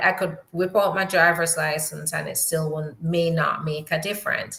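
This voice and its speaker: Speaking at a fairly slow pace in a Jamaican accent, a woman has a bright, sharp tone. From New York. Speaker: immigration attorney. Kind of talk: live Q&A stream. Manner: casual, conversational with fillers.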